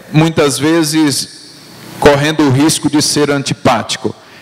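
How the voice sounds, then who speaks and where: Amid noticeable background noise, a man's speech unfolds rather slowly. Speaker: pastor. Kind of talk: teaching sermon. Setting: church. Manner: slow, deliberate; repetitive call-and-response.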